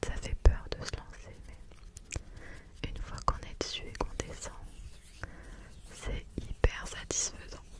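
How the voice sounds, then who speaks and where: A woman whispers very slowly, with long, frequent pauses. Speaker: ASMR creator. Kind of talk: ASMR chat, telling about her holidays. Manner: whispered, soft-spoken. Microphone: studio mic.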